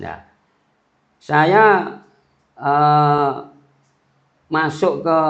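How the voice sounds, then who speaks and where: A man's fairly high voice comes through with audible echo from the room. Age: 60s. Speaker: local party chairman. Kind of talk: podcast interview. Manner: halting, many fillers.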